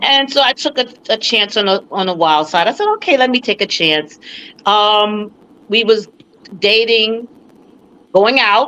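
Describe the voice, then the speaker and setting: A woman's fairly high, bright and sharp voice at a fairly slow pace, with long, frequent pauses. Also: ordinary pitch variation. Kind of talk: interview answer. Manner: casual, storytelling.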